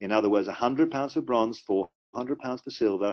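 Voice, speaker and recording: Here a man speaks with a British accent. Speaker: company executive presenting compensation plan. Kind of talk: business webinar presentation. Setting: webinar call.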